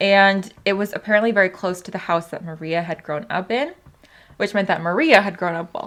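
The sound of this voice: Fairly even intonation marks this unforced reading.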